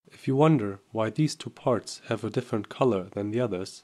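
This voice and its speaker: With a dark, mellow tone, a man talks at a medium pitch and a moderate pace with ordinary pitch variation, recorded very cleanly against a silent background. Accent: German. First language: German. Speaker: software tutorial presenter. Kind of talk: tutorial.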